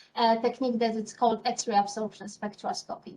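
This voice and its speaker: The speaker talks at a fairly quick pace with a Polish accent. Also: woman. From Poland. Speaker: scientist. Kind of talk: interview. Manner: hesitant, many fillers.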